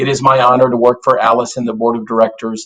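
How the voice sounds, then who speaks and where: Fairly quick delivery in an American accent, an ordinary speaking voice. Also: man. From South Texas, US-Mexico border. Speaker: business association executive. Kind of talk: panel remarks. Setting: virtual town hall.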